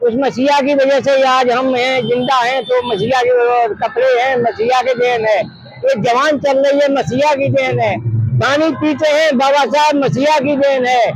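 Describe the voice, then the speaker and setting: There is noticeable background noise behind this man. His pitch is extremely high, his intonation fairly even, and his loudness very even. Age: 70s. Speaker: rally participant. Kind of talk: street interview.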